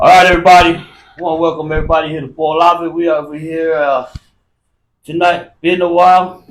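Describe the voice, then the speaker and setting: Loud and at a very fast pace, a man talks with high pitch in a monotone, flat intonation. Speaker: podcast host. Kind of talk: casual chat.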